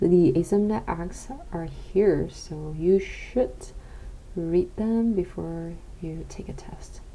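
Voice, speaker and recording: A quiet woman speaks at a very slow pace with long, frequent pauses over noticeable background noise. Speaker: international student. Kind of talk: casual talk to camera. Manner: quiet, low voice.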